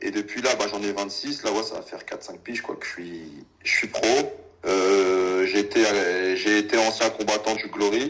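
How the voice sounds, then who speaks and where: A man's plain, everyday voice, fairly low in pitch, at a moderate pace with fairly even intonation and big swings in loudness. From Paris suburbs (Val-d'Oise, near Sarcelles). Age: 20s. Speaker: professional kickboxer. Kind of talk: casual interview. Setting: call.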